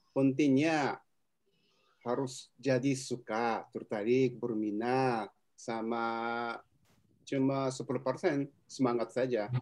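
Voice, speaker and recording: A man with a Japanese accent speaks at a very slow pace, leaving long, frequent pauses. His pitch is medium and his intonation fairly even. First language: Japanese (speaking Indonesian). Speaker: resource person on working in Japan. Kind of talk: webinar talk answering questions.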